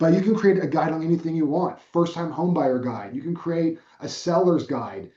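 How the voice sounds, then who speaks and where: At a fairly quick pace with hardly any pauses, a man speaks in a high voice with ordinary pitch variation. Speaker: real estate trainer. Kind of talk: online training presentation. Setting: video call. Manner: fast; casual, conversational.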